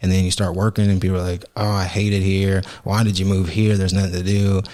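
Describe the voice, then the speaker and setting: In an American accent, a man with a very deep, low voice talks very fast in a dark, mellow tone, monotone and flat, with very even loudness. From Oklahoma. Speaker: podcast co-host. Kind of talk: casual chat.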